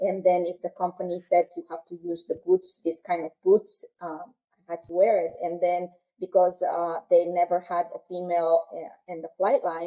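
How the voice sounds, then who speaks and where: A woman speaks in a strong Peruvian accent at a moderate pace. Her pitch is fairly low and her intonation monotone and flat. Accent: heavy Peruvian Spanish. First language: Quechua. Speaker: military aircrew member. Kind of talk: interview. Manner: halting.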